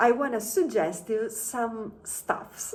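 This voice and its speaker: In an Italian accent, a woman speaks at a very slow pace. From Italy. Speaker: travel vlogger. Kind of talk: casual vlog talk to camera. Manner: halting, many fillers.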